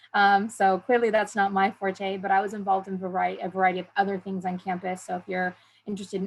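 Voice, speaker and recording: The voice is somewhat breathy and moves at a very fast pace. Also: woman. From southern California (San Diego). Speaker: university admissions advisor. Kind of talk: information session presentation. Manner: hesitant with frequent fillers.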